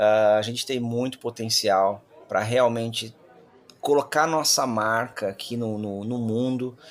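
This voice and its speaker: Medium in pitch, a man's voice moves at a fairly slow pace. His intonation stays fairly even. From Brazil. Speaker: company founder and CEO. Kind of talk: interview. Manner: halting, with repetitions.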